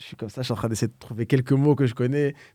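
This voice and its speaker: On a very clean recording with a silent background, a man speaks very fast at medium pitch, his tone dark and mellow and his intonation fairly even. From France, Créteil (Val-de-Marne, Paris suburbs). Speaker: musician. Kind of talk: interview. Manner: casual, hesitant with many fillers.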